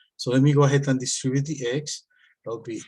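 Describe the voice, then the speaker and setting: Somewhat breathy, the man's medium-pitched voice keeps a fairly even intonation. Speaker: math teacher. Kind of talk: tutorial. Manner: hesitant with filler words.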